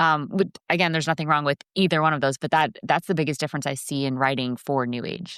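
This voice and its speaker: A woman with an American accent speaks at a very fast pace, her pitch very deep and low. The recording is very clean and dry, close with no echo, over a silent background. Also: ordinary pitch variation. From US Northeast, Connecticut. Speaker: composer and coach. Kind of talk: interview.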